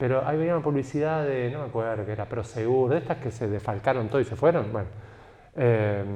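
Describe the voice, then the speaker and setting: Speaking in a Rioplatense accent, a man has a dark, mellow tone, medium pitch and ordinary pitch variation. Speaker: writer. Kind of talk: talk. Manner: animated.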